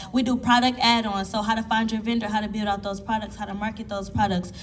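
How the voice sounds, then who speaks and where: Over noticeable background noise and audible room echo, a woman speaks in an animated tone at a fairly high pitch. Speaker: business coach on a panel. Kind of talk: panel discussion.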